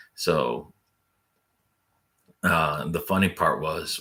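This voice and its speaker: Soft-spoken, a man talks at a very slow pace. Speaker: fishing vlogger. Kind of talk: casual chat. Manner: monotone.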